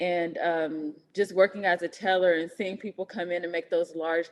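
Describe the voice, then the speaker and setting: A woman with an American accent and an ordinary speaking voice, fairly low in pitch with fairly even intonation. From California, Oakland. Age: 30s. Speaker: investor, banker. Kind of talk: interview.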